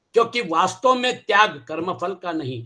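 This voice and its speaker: A man speaks in a raised, projected voice with a high pitch. His tone is bright and sharp, and his pitch swings very widely. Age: 70s. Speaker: Gita teacher. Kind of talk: lecture.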